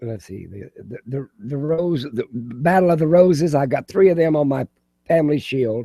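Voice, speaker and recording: A man with a dark, mellow tone and fairly high pitch speaks at a moderate pace with lively intonation and big swings in loudness. The sound is dry and close, with no echo. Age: 80s+. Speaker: video chat participant, Bible collector. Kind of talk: casual chat. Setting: live video hangout. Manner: halting.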